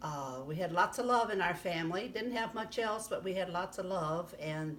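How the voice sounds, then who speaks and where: With a US Midwestern accent, a woman speaks in a lively intonation, and audible room echo can be heard. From US Midwest, southern Illinois. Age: 80s+. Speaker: grandmother interviewee. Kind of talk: casual life-story interview. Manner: halting, many fillers.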